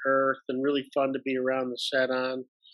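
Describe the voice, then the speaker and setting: With an American accent, a man speaks in a fairly high voice. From US Midwest, Detroit, Michigan. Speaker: actor and improviser. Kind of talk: casual interview.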